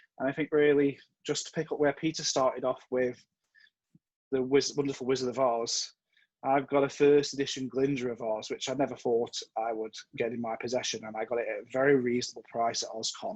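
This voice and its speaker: Talking at a fairly quick pace, a man with an American accent keeps his intonation fairly even. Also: medium pitch for a man. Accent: Stoke-on-Trent English, slight American slips. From Staffordshire, England. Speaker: convention chair. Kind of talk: casual chat; presentation with slides.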